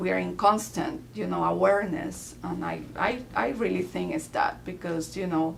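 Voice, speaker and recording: A woman speaks amid noticeable background noise, with audible room echo. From Peru (Lima). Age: 40s. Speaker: immigrant interviewee. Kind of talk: interview.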